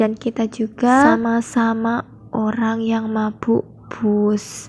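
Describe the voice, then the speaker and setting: A somewhat breathy voice with flat, monotone intonation. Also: woman. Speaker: vlogger, teacher-training student. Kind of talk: travel vlog narration. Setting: on a bus trip.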